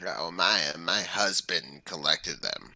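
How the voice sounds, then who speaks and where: Speaking at a fairly slow pace, a man puts on a raspy character voice. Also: very deep, low pitch for a man. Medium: actual play.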